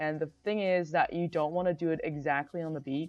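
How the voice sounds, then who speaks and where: At a moderate pace, a woman talks in a very deep, low pitch with fairly even intonation. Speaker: video editing tutor. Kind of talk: tutorial. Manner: casual, filler-heavy.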